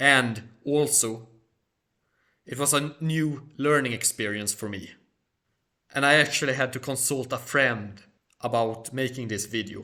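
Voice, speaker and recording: With a Swedish accent and a bright, sharp tone, a man speaks at a fairly slow pace with long, frequent pauses and fairly even intonation, in a very clean recording with a silent background. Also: medium pitch for a man. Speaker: history and culture YouTuber. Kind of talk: Q&A monologue.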